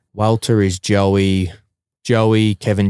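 A man with an Australian accent speaks in a monotone, flat intonation. The recording is very clean, with a silent background and a dry, close sound with no echo. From Australia, Bacchus Marsh, Victoria. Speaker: professional mixed martial arts fighter. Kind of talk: casual chat.

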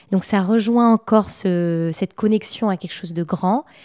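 A woman with a dark, mellow tone and ordinary pitch variation speaks at a fairly slow pace in a very clean recording with a silent background and a dry, close sound with no echo. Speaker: feng shui expert and painter. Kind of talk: casual interview conversation. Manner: hesitant, many filler words.

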